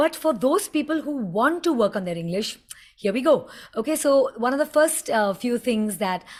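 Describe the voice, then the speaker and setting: With an Indian accent, a woman speaks at a moderate pace in an animated, somewhat breathy tone with lively intonation. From India, Mumbai. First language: Hindi. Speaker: communication coach. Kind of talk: tutorial.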